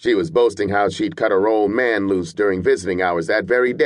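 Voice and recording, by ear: A natural voice reading aloud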